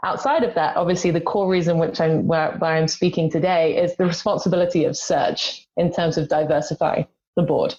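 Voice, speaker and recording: A woman with an English accent, a fairly low pitch and fairly even intonation, at a fairly quick pace with hardly any pauses and very even loudness. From England. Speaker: executive search consultant. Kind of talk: panel discussion.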